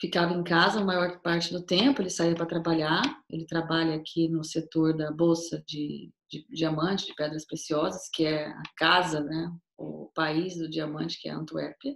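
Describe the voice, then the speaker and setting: Speaking at a moderate pace in a normal speaking voice, a woman with a fairly low pitch keeps her intonation fairly even while her loudness swings widely. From Brazil, Cuiabá, Mato Grosso. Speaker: tour guide. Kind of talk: casual interview.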